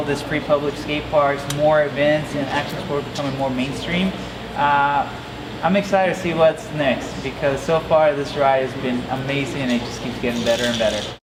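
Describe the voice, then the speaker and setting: Over noticeable background noise and audible room echo, a man talks at a moderate pace at a fairly high pitch. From Mexico (La Paz), raised from 13 in Las Vegas. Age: 30s. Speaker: pro BMX rider. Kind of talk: interview. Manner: casual, upbeat.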